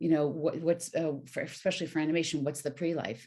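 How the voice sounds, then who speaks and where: A woman's very deep, low voice at a fairly quick pace, in a very clean recording with a silent background. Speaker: voice actor and voiceover coach. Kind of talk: interview. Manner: clear diction and projection.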